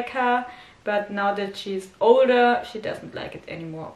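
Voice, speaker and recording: Audible room echo surrounds this voice with a German accent. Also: woman. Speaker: dog owner vlogger. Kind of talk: casual vlog talk. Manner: halting, many fillers.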